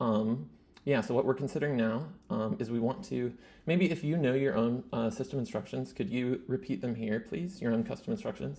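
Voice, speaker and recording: With a dark, mellow tone at medium pitch, a man speaks with very wide pitch swings and vocal fry on a very clean recording against a silent background. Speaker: YouTuber demonstrating AI tools. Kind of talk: casual tutorial talking to AI model. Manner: fast; halting, many fillers.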